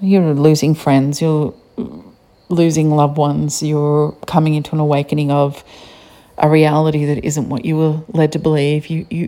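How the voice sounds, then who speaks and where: A woman with an Australian accent, her voice very deep and low, dark and mellow in tone, at a fairly slow pace. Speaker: podcaster. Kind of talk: solo podcast monologue.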